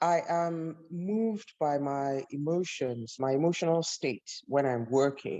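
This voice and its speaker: A woman speaks very slowly in a very deep, low pitch with a dark, mellow tone and ordinary pitch variation. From Nigeria. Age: 60s. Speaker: visual artist. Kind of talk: panel conversation. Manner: halting.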